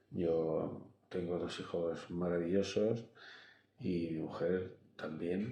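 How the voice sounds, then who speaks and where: A man speaks very slowly in a very deep, low pitch with a dark, mellow tone. His intonation stays fairly even, and room echo is audible. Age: 70s. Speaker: engineer and teacher, interviewee. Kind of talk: interview. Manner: halting.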